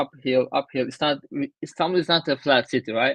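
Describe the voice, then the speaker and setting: A man with a Turkish accent talks at a fairly quick pace in a fairly high pitch, his intonation fairly even and the sound dry and close with no echo. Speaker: traveler. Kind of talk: interview. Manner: halting.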